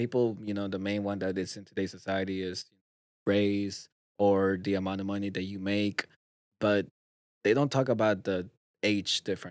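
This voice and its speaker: A man's fairly low, monotone voice with flat intonation, a moderate pace and long, frequent pauses, on a very clean recording with a silent background. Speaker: podcast host. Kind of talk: casual chat.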